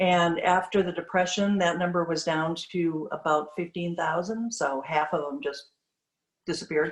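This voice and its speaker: A woman with an Upper Midwest accent speaks at a moderate pace and a fairly low pitch, with ordinary pitch variation. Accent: Upper Midwest (Minnesota). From Minnesota. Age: 60s. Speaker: bank president. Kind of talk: presentation to a club. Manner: halting, many fillers.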